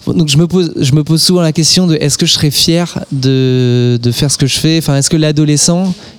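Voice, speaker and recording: Over noticeable background noise, a man with a fairly high voice speaks at a moderate pace with ordinary pitch variation. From Alsace. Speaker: singer. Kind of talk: interview.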